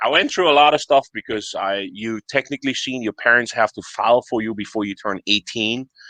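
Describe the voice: Fairly low in pitch, a man talks at a fairly quick pace with a bright, sharp tone and ordinary pitch variation, the sound dry and close with no echo.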